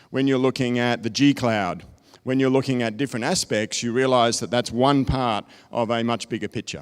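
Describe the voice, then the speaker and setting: In an Australian accent, a man talks at a moderate pace and medium pitch with fairly even intonation, the sound dry and close with no echo on a very clean recording with a silent background. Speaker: technology consultant. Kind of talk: conference presentation.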